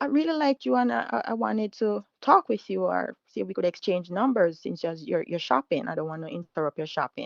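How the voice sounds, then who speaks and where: A woman with a Jamaican accent at a fairly quick pace, her pitch swinging very widely. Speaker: caller telling her story. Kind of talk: personal story told live. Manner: halting.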